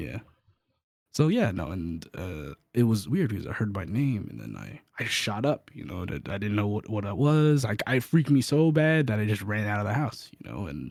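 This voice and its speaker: On a very clean recording with a silent background, the voice moves at a moderate pace with very wide pitch swings and big swings in loudness. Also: man, fairly low pitch for a man. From United States. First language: Cantonese. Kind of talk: casual chat. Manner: halting, many repeated words.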